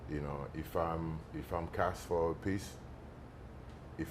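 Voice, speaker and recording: This man's voice is very deep and low in pitch. He talks at a fairly slow pace. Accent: Haitian. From Haiti. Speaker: actor. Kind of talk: interview. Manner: halting, many fillers.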